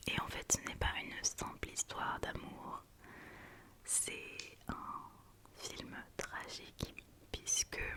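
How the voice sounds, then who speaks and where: A woman whispers over noticeable background noise. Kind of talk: ASMR whisper video with movie review talk to camera. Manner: whispered, soft-spoken.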